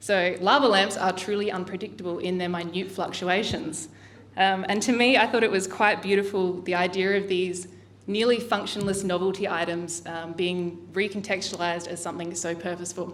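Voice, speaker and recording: A woman with an Australian accent, medium in pitch, her intonation fairly even, amid audible room echo. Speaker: artist. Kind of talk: artist talk. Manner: fast.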